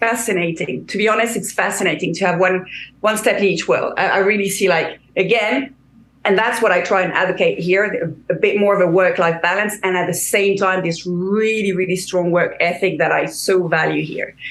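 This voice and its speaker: Noticeable background noise sits behind a woman with a slight French accent, talking at a moderate pace with a medium pitch and fairly even intonation. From France. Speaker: career coach. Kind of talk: interview. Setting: video call. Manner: halting, many repetitions.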